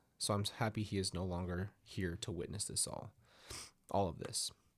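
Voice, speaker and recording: Somewhat breathy, a man's voice sits at a fairly low pitch. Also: very clean recording, silent background. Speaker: story narrator. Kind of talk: reading aloud.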